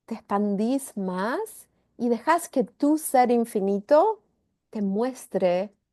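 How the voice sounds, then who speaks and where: The voice has a dark, mellow tone and lively intonation, recorded dry and close with no echo against a quiet background. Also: woman. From Argentina. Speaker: spiritual facilitator. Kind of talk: guided energy session.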